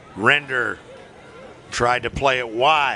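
A man's medium-pitched voice comes through with noticeable background noise. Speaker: play-by-play commentator. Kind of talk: live sports commentary. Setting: broadcast booth above the field. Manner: self-correcting, upbeat and lively, rising in pitch on big moments.

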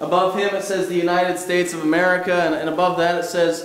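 A man with a high-pitched voice speaks at a fairly quick pace. There is audible room echo and light background noise. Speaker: pastor. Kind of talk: sermon. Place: church.

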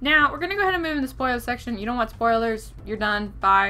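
Light background noise behind a woman's voice. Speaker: book reviewer. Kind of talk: casual vlog chat. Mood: exasperated, opinionated rant. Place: home room. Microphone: webcam.

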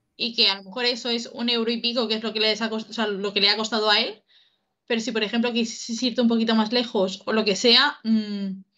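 Over a quiet background, a woman with a fairly high pitch talks at a fairly quick pace. Her tone is bright and sharp, her intonation monotone and flat. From Spain, Murcia; Spain. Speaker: youtube reaction co-host. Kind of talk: casual chat. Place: home room. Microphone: webcam.

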